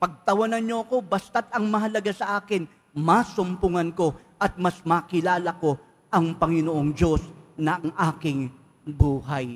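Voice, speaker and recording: The man's voice is high in pitch, with ordinary variation. He speaks at a fairly slow pace. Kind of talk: preacher homily, rhetorical questions to congregation in Taglish. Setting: church. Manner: gentle, polite pleading tone with frequent 'po'; reflective, questioning, drawing listeners in.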